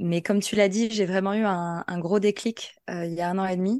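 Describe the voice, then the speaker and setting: Recorded dry and close with no echo against a quiet background, a woman speaks at a fairly slow pace in a medium pitch with ordinary pitch variation. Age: 30s. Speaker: podcast guest sharing personal testimony. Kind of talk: testimony. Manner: halting.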